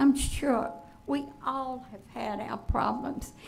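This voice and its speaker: Very slow speech in a Virginia accent, with audible room echo and music in the background. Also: woman. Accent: Southern US (Virginia). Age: 80s+. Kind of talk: public comment at a school board meeting. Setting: school board meeting room.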